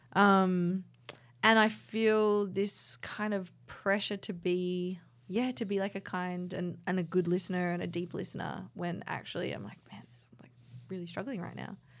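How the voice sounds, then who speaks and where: A woman with an Australian accent, medium pitch, fairly even intonation and big swings in loudness. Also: moderate pace, very clean recording, silent background. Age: 30s. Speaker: podcast co-host, artist. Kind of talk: casual chat.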